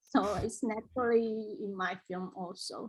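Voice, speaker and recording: A woman speaks very slowly in a somewhat breathy, fairly high voice with a dark, mellow tone and ordinary pitch variation. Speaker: artist and filmmaker. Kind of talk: panel discussion. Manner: halting.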